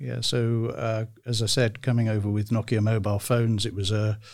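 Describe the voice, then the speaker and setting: British accent from a man with a fairly low pitch, fairly even intonation and a moderate pace, in a very clean recording with a silent background. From United Kingdom. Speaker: career advisor. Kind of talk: interview.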